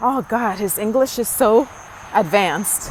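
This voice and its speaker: Speaking at a very slow pace with a Spanish accent, a woman's fairly high-pitched voice comes through noticeable background noise. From Dominican Republic, moved to New York at eleven. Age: 50s. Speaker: vlogger. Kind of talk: personal vlog testimony. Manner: casual, hesitant with fillers.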